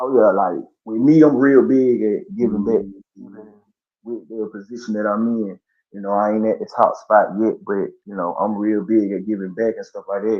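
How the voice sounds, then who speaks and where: A man with an American accent at medium pitch, a moderate pace, ordinary pitch variation and big swings in loudness. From US South, Columbus, Georgia. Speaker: rapper and promoter. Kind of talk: casual interview.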